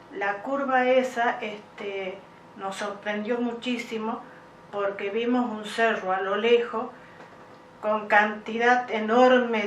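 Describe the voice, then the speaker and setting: Speaking at a very slow pace in a monotone, flat intonation, a woman is heard with audible room echo. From Argentina, Santa Fe province. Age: 60s. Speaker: UFO contact witness. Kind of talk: interview testimony. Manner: hesitant with many fillers.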